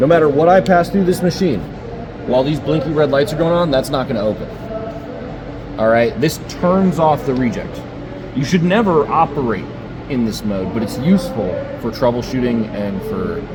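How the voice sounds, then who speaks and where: Over music in the background, a man speaks at a fairly high pitch with very wide pitch swings and long, frequent pauses. Room echo is audible. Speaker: equipment trainer. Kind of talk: on-site training demonstration. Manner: fast.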